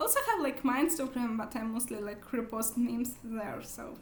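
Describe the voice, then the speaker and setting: This woman has a high-pitched voice and speaks at a moderate pace. Room echo is audible. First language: not English. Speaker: book vlogger. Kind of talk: casual vlog monologue. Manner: halting, many fillers.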